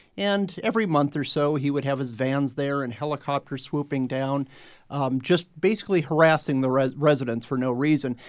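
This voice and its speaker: A man with an American accent has a normal speaking voice and a fairly high pitch. He speaks at a fairly quick pace in a very clean recording with a silent background. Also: ordinary pitch variation. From Phoenix, Arizona. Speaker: editor and writer. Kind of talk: panel discussion.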